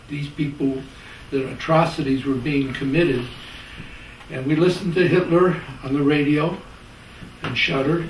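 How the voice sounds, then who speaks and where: Speaking at a moderate pace with fairly even intonation, a man leaves long, frequent pauses. Audible room echo and light background noise surround him. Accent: American. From US Midwest, Chicago. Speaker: sociology professor. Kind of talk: interview. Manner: halting. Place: home room.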